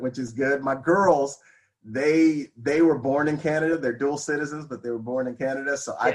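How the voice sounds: A man with a Californian accent speaks at a fairly high pitch with fairly even intonation. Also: moderate pace. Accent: California.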